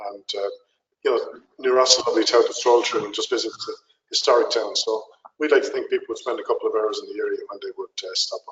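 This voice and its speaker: In an Irish accent, a man talks at a very fast pace with big swings in loudness. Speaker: tourist attraction representative. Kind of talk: webinar Q&A. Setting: webinar call.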